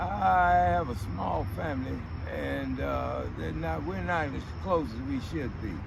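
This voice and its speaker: This man's voice is very deep and low, with vocal fry and lively intonation. He talks at a fairly slow pace, and audible room echo surrounds him. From Texas, Fort Worth South Side. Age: 60s. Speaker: homeless man. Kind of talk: casual interview. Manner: halting, with frequent fillers.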